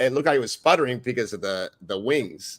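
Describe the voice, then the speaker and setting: A man's medium-pitched, ordinary speaking voice with lively intonation, in a very clean recording with a silent background. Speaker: paranormal investigator.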